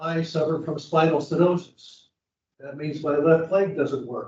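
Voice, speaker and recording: A man's fairly high, monotone voice at a moderate pace. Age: 80s+. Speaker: resident giving public comment. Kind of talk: public comment testimony.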